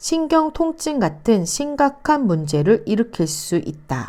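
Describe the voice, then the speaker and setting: A woman speaks with a dark, mellow tone at a very slow pace. Her pitch swings very widely. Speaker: YouTuber, direct sales distributor. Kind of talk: reading aloud.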